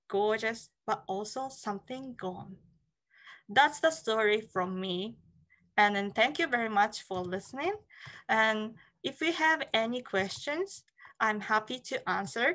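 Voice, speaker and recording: A woman with a Japanese accent, fairly high pitch and a bright, sharp tone, lively intonation, a fairly slow pace with long, frequent pauses, against a quiet background. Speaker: licensed tour guide. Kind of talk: online talk.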